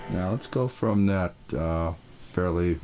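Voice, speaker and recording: Against noticeable background noise, a man with a very deep, low pitch speaks in a relaxed tone at a very slow pace, with ordinary pitch variation. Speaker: musician testing a video recorder. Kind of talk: equipment test talk.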